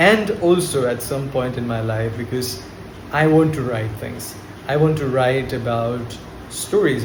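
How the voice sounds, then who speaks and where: With a slight Indian accent, the speech comes at a moderate pace amid audible room echo and noticeable background noise. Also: man. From India, Kolkata. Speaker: spoken English teacher, vlogger. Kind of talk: unscripted monologue to camera. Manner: hesitant, with fillers and repetitions.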